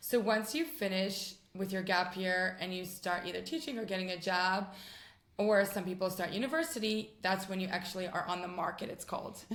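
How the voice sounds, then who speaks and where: With an American accent, a woman speaks at a moderate pace and medium pitch, with ordinary pitch variation and audible room echo. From US West Coast, San Francisco. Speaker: rabbi's wife. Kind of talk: interview. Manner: hesitant, many ums.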